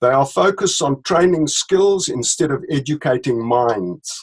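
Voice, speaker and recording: The speaker has a South African accent. The intonation is lively. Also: man. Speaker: leadership consultant, company director. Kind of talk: interview. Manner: hesitant, with fillers.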